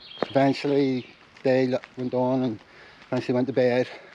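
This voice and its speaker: Against noticeable background noise, a man speaks at a medium pitch and a moderate pace. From Ireland. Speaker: van lifer. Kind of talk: casual talk to camera.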